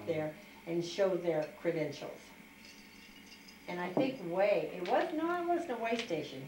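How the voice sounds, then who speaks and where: The recording has audible room echo. Light background noise is present too. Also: woman. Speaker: interviewee telling her life story. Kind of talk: interview answer. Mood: warm, animated reminiscing. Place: home room. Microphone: camera far.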